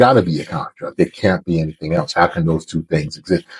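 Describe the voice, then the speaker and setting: In a dry, close sound with no echo, a man with an American accent talks at a moderate pace in a very deep, low pitch. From San Diego, California. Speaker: former radio personality, commentator. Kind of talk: monologue story time. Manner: animated.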